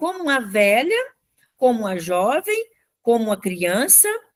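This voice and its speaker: A woman speaks at a very slow pace. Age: 70s. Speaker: radio co-host. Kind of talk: casual chat.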